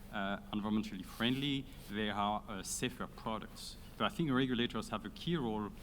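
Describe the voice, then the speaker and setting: A man with a French accent, fairly low in pitch, at a fairly quick pace with ordinary pitch variation. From France. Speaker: audience member. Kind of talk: question from the floor. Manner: halting.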